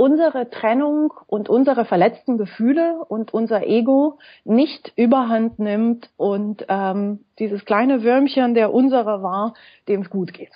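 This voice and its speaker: This woman has a fairly high pitch and ordinary pitch variation, and she speaks at a very slow pace. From Romania. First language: Romanian and French (speaking German). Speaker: school founder and blogger. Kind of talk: interview.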